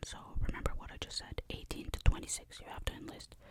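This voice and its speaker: Noticeable background noise sits behind a woman who is whispering. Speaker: ASMR creator. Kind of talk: ASMR storytime. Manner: whispered, soft-spoken.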